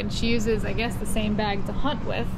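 Loud background noise fills the clip. Through it, a woman talks at a moderate speed. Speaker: travel vlogger. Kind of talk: casual vlog chat. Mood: amused, laughing storytelling. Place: station. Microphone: phone near.

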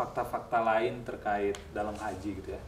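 Pitched fairly low, a man speaks at a moderate pace with light background noise and audible room echo. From Majalaya, West Java, Indonesia; West Java, Indonesia. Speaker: video host. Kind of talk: interview. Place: home room.

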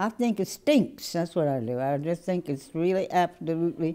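A woman's dark, mellow voice, fairly low in pitch, with lively intonation at a moderate pace over a quiet background. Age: 80s+. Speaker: voting rights plaintiff. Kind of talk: interview answer. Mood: indignant but warm. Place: office. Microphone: lapel.

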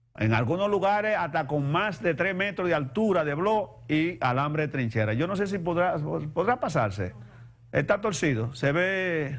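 With a Dominican accent, the speaker uses lively intonation at a moderate pace. Loudness stays very even from start to finish. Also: man. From Dominican Republic. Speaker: TV talk show host. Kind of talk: TV news commentary. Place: studio.

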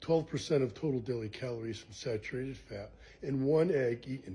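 A somewhat breathy male voice, dark and mellow in tone, at a fairly slow pace. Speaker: nutrition educator. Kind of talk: explainer talk to camera. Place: kitchen. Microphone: phone near.

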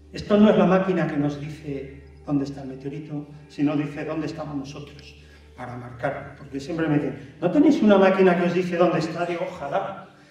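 A man talks at a moderate pace, his pitch varying in an ordinary way, with audible echo from the room around him. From Spain, León. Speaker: meteorite hunter and science communicator. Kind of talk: public lecture. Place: hall.

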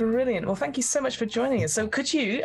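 Music plays behind a woman's voice. She speaks at a very fast pace. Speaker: podcast host and game master. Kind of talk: interview.

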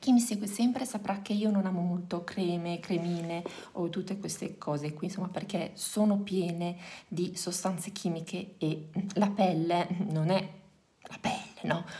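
A soft-spoken woman talks at a fairly slow pace with fairly even intonation. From Reggio Emilia, northern Italy; Italy. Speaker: youtuber, mother of four; youtuber. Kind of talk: casual vlog. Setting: at home. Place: home room. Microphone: phone near.

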